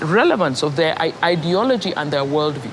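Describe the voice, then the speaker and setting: With noticeable background noise present, a woman talks at a moderate pace. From Kenya. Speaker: poet, playwright, performer. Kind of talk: master class lecture. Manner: conversational, hesitant.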